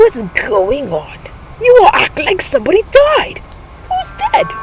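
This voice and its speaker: This is a put-on character voice. Clear background noise runs behind it. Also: woman, extremely high pitch for a woman, moderate pace. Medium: read story. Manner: cheerful, stubborn.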